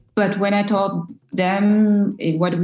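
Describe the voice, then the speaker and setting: With a French accent, a woman speaks in a dark, mellow, somewhat breathy tone and fairly even intonation. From Ivory Coast (Abidjan). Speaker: social entrepreneur. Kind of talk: interview. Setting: video call. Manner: halting.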